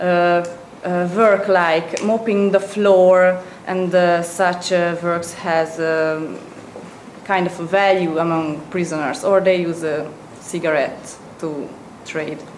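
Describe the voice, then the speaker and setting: With a Hungarian accent, a woman talks at a very slow pace in a flat monotone and a fairly low pitch, with noticeable background noise. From Hungary. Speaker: presenter at an economics seminar. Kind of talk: lecture. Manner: halting.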